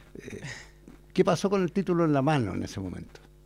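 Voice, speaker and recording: The recording is very clean and the background silent. A dark, mellow tone comes with lively intonation. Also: man. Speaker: university advertising teacher hosting podcast. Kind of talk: casual interview.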